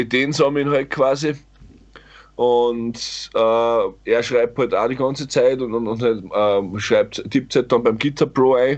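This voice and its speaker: Against a quiet background, the speaker goes at a very slow pace. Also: man. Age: 30s. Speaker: metal band vocalist. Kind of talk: casual chat.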